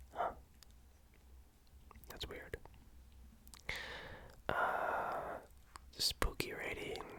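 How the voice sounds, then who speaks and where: Very slow whispering broken by long, frequent pauses, noticeable noise in the background. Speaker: ASMR streamer reading horror stories. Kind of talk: ASMR story reading. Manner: soft-spoken, casual.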